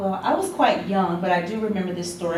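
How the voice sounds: The speaker talks fast with an American accent. Room echo is audible. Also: woman.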